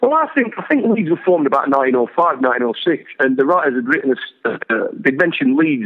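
Lively intonation and a fairly quick pace from a man. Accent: Yorkshire. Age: 50s. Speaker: actor. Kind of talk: casual chat.

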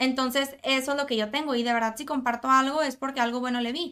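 On a very clean recording with a silent background, a woman speaks at a very fast pace. Her high voice has a bright, sharp tone and monotone, flat intonation. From Monterrey, Mexico. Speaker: content creator. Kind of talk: casual chat.

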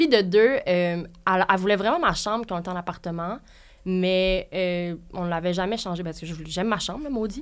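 A woman with an unremarkable speaking voice talks at a medium pitch with ordinary variation and big swings in loudness. The recording is very clean, with a silent background. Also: moderate pace. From Quebec, Sherbrooke. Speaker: interview guest. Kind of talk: personal story in interview.

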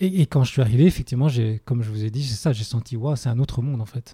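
At a very fast pace, the speaker sounds somewhat breathy and dark, mellow in tone, with fairly even intonation and a dry, close sound with no echo. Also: man. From Belgium. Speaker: spiritual movement teacher. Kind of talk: interview conversation. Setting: on location at a summer retreat in Italy.

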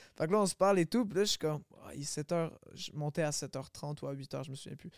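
Very fast and with big swings in loudness, a man speaks at a fairly high pitch with ordinary pitch variation, in a dry, close sound with no echo. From Quebec, Longueuil. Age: 20s. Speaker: rapper. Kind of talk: casual chat.

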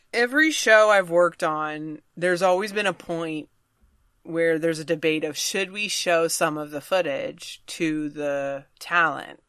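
A woman with an American accent speaks at a fairly slow pace in an unremarkable speaking voice, fairly low-pitched with ordinary pitch variation, on a very clean recording with a silent background. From Virginia, US South. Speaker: stand-up comedian. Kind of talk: casual chat.

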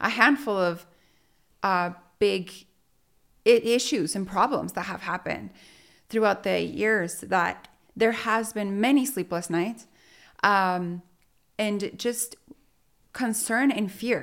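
On a very clean recording with a silent background, a woman with a Spanish accent speaks at medium pitch and a very slow pace, leaving long, frequent pauses. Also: ordinary pitch variation. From Mexico (Sonora), raised in Utah from age 11. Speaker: real estate business owner. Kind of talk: interview conversation.

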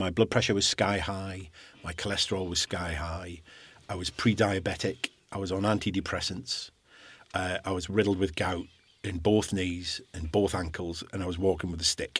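A man's very deep, low voice with a Scottish accent, monotone and flat, at a moderate pace. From Scottish island. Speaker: guest sharing recovery from alcohol abuse. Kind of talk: interview about personal story.

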